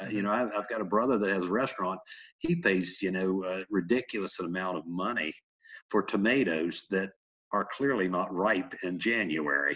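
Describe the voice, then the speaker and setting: Moderate pace and ordinary pitch variation, delivered with an American accent. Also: man, very deep, low pitch for a man. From West Virginia. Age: 50s. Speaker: farmer and political candidate. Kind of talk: interview. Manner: halting, many fillers.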